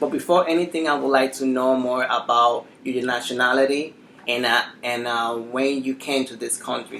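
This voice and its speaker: Over noticeable background noise, a man with a Spanish accent speaks at a moderate pace in a medium pitch with monotone, flat intonation. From Dominican Republic. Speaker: interviewer. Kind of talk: interview.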